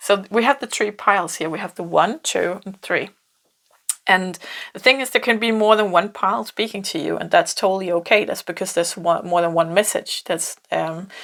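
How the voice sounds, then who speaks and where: A woman's medium-pitched voice in a Danish accent, with ordinary pitch variation and a moderate pace. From Denmark. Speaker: tarot reader. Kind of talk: pick-a-card tarot reading. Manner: halting, many fillers and repeats.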